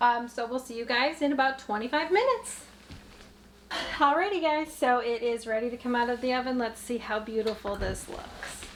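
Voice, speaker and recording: Noticeable background noise sits behind a woman who speaks at a moderate pace with a high pitch and ordinary pitch variation. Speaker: home cooking vlogger. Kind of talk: cooking tutorial. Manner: loud; animated. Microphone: microphone very close to face.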